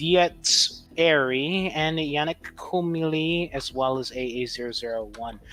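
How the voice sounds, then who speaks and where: The pace is very slow. There are hardly any pauses. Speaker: gaming livestream co-host. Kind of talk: casual livestream chat.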